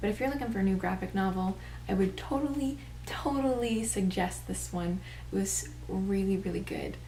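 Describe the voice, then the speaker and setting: At a moderate pace, a soft-spoken woman talks in a room with audible echo. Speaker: booktuber. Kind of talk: casual book review vlog.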